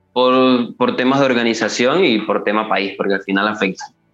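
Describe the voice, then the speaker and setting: Music plays in the background as a man talks at a fairly quick pace. His medium-pitched voice keeps fairly even intonation. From eastern Venezuela. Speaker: football TikToker. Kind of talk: casual interview chat. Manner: halting, with many fillers and repetitions.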